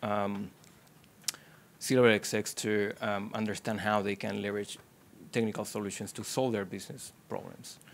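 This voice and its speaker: In an Argentine accent, a man speaks at a fairly low pitch in a flat monotone. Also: moderate pace. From Argentina. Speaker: technology executive. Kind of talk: panel discussion. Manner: halting, many fillers.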